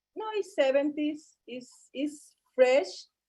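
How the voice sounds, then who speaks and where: A woman's dark, mellow voice in a Spanish accent, with very wide pitch swings at a very slow pace. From Colombia. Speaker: model and fashion designer. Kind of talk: interview. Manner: halting.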